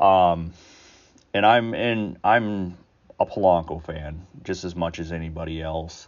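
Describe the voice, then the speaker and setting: A man with a very deep, low pitch, fairly even intonation, a fairly slow pace and big swings in loudness. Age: 40s. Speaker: sports podcast host. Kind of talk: casual solo commentary. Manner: halting, many fillers.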